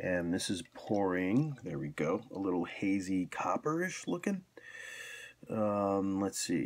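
A quiet man at a very slow pace with ordinary pitch variation, in a very clean recording with a silent background. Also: fairly low pitch for a man. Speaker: beer reviewer. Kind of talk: casual video review.

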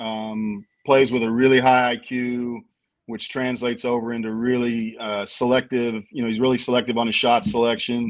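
A man's monotone, flat intonation at a moderate pace, over a quiet background. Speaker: basketball team director; guest. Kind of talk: casual sports talk show. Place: home room. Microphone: video call.

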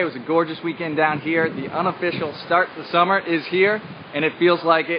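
A man's fairly high, fairly quick voice with fairly even intonation and faint background noise

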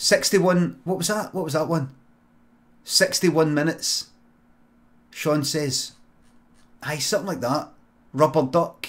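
A man talks at a very slow pace. He leaves long, frequent pauses, with ordinary pitch variation. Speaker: live streamer, comedian. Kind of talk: improv comedy stream chat. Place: home room.

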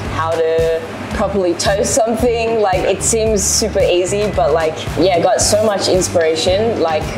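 A woman's voice with ordinary pitch variation at a moderate pace, clear music in the background. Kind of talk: interview answer. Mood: cheerful, animated storytelling. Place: cafe. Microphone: lapel.

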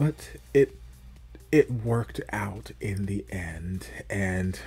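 A man's voice over faint background music. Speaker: reaction video host. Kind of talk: casual commentary. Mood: reflective, lightly amused. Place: home room. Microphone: studio mic.

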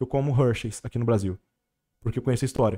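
The background stays quiet. The man's tone is dark and mellow. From Brazil. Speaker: travel entrepreneur; podcast guest. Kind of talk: casual chat. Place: studio. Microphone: studio mic.

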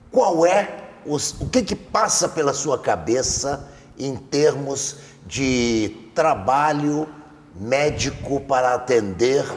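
A man at a very slow pace with lively intonation, over light background noise. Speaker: TV interviewer. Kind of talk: TV interview. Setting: studio. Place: studio. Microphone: lapel.

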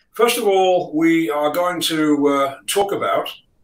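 Audible room echo accompanies a man speaking at a very slow pace with ordinary pitch variation. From UK. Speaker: sales trainer and author; sales trainer. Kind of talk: business talk. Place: home room.

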